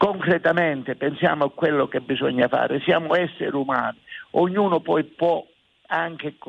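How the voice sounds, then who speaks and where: A man is speaking. His pace is moderate. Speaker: town mayor. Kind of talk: radio interview. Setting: remote radio link.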